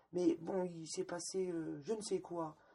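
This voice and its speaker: Her dark, mellow, somewhat breathy voice sits fairly low for a woman and moves at a very slow pace. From Lorraine, France. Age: 50s. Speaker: former sect member. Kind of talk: testimony. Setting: at her home. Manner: hesitant, repeats words.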